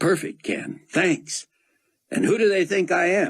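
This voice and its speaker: A man's raspy, put-on character voice, high in pitch, at a fairly slow pace with lively intonation and very even loudness. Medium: read story. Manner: brisk, decisive.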